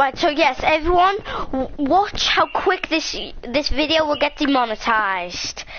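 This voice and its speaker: Against noticeable background noise, a woman with a high pitch speaks at a fairly slow pace in an animated tone, her intonation lively and her loudness very even. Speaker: YouTube gamer. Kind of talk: casual chat. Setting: home recording with live stream. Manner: rambling, animated.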